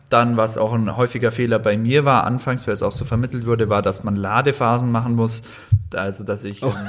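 The man's voice is medium in pitch and monotone, with flat intonation. He talks at a fairly quick pace over noticeable background noise. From Allgäu, southern Germany. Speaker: fitness social media creator and student. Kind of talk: casual chat.

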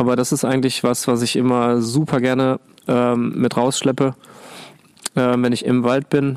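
A man's medium-pitched, flat, monotone voice at a moderate pace, with very even loudness and long, frequent pauses. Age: 40s. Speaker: climbing instructor. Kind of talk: casual chat. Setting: outdoors.

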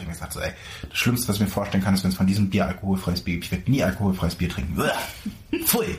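The speaker is a man. Background noise is clearly noticeable. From Mecklenburg-Vorpommern, Germany. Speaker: podcast co-host. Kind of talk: casual chat. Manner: animated, laughing.

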